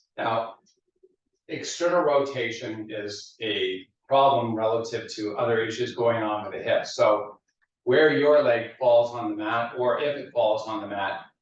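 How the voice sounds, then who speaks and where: Speaking at a fairly slow pace, a man with a medium pitch and a somewhat breathy voice shows ordinary pitch variation and big swings in loudness. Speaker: fitness instructor. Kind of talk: guided exercise class. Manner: instructional, calm.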